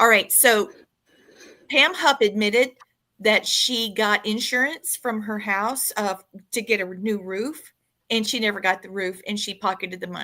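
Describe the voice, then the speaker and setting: A woman with a Southern US accent and a bright, sharp tone speaks at a moderate pace with ordinary pitch variation on a very clean recording with a silent background. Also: fairly high pitch for a woman, big swings in loudness. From US South. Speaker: podcast host. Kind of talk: casual chat.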